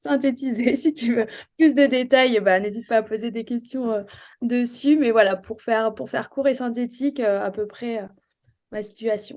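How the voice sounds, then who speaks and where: A woman's fairly high-pitched voice keeps fairly even intonation at a moderate pace. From France, Charente. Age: 30s. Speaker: real estate investor. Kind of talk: interview. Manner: hesitant, many fillers.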